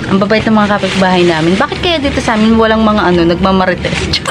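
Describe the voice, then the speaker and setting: A woman's voice with ordinary pitch variation, noticeable background noise and audible room echo. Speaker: plant vlogger. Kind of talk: casual vlog talk. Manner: quieter voice, shy of speaking loudly.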